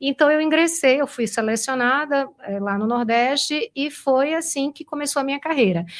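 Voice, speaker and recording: Speaking in a Pernambuco accent, a woman uses a high pitch with ordinary variation. She keeps a moderate pace with hardly any pauses. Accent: Pernambuco accent, noticeable. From Brazil, Recife (Pernambuco). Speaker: finance executive. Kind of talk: interview.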